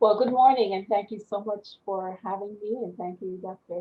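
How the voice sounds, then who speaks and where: The speaker has a West Indian accent and a moderate pace. Pitch variation is ordinary. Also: woman. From Panama. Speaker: business owner and army veteran. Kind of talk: interview. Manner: halting.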